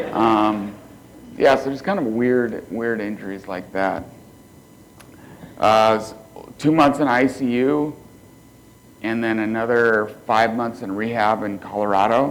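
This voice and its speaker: A man's quiet voice at a medium pitch, fairly slow, with fairly even intonation, long, frequent pauses and audible room echo. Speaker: motivational speaker, quadriplegic. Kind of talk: keynote speech. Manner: quiet, cannot raise voice.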